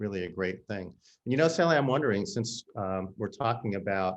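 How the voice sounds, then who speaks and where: A man with an American accent speaks at a fairly low pitch with ordinary pitch variation, in a normal speaking voice. The background is quiet. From US Midwest, St. Louis. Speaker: conservation leader, former board member. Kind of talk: panel conversation. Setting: video call.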